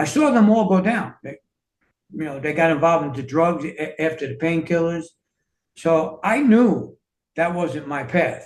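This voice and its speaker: With a New York accent, a man speaks at a moderate pace and high pitch, showing ordinary pitch variation and big swings in loudness. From US Northeast, New York City. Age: 60s. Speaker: fitness and self-healing coach, author. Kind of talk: interview conversation.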